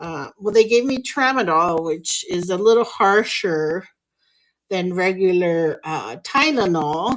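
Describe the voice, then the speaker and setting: Her intonation lively, a woman speaks at a very slow pace and a medium pitch. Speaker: blind artist. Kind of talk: casual talk during art livestream. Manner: mumbling, searching for words.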